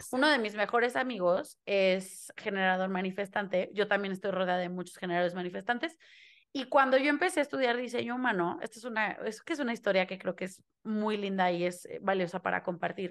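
Against a quiet background, a woman speaks at a fairly quick pace. Her intonation is lively and her pitch medium. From Mexico. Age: 20s. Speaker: human design reader and theatre teacher. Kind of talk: interview conversation.

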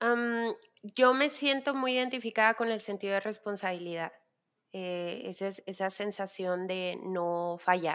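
Over a very clean recording with a silent background, a woman with a plain, everyday voice speaks at a fairly slow pace and medium pitch, with ordinary pitch variation. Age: 30s. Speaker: worship leader and designer. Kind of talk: casual chat.

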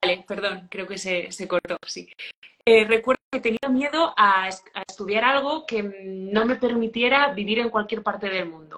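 At a fairly slow pace, a woman with a normal speaking voice and fairly high pitch shows ordinary pitch variation and big swings in loudness. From Spain, rural León province. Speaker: hospitality business owner. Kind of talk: interview.

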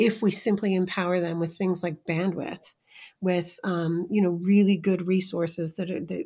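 Speaking in an American accent, a woman uses a medium pitch, a moderate pace, and monotone, flat intonation, her voice somewhat breathy. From US Midwest (Iowa). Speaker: entrepreneurship researcher and report author. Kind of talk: interview conversation.

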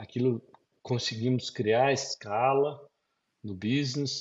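With fairly even intonation, a man talks in a somewhat breathy voice. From Brazil. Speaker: business consultant and entrepreneur. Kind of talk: interview. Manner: halting.

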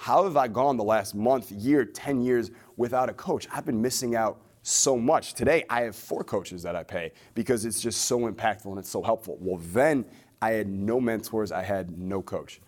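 A man at a moderate pace, an ordinary speaking voice with medium pitch and ordinary pitch variation, on a very clean recording with a silent background. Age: 20s. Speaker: entrepreneur and business coach. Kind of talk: interview.

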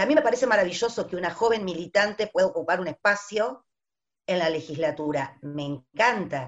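A woman speaks moderately fast, her pitch swinging across a very wide range. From Buenos Aires, Argentina. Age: 50s. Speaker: teacher. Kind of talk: panel discussion.

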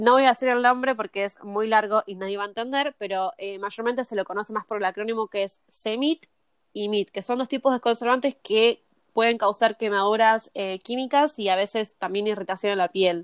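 In a plain, everyday voice, a woman talks at a fairly quick pace with a fairly high pitch and fairly even intonation, recorded very cleanly against a silent background with a dry, close sound and no echo. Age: 20s. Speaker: cosmetologist. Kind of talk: interview.

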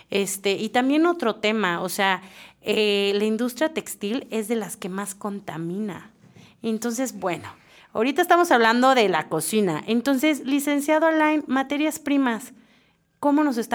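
Woman's voice, fairly high in pitch, an unremarkable speaking voice with lively intonation at a fairly slow pace, on a very clean recording with a silent background. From Mexico, Querétaro. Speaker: podcast host, cook. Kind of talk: casual panel discussion.

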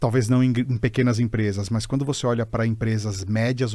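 A man's dark, mellow tone at medium pitch, monotone and flat, in a very clean recording with a silent background. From Brazil, São Bernardo do Campo (São Paulo). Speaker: HR executive. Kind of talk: casual interview chat.

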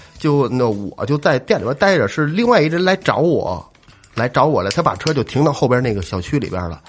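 An animated man speaks at a fairly quick pace and a fairly high pitch, with very wide pitch swings and vocal fry. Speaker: podcast co-host. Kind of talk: casual chat.

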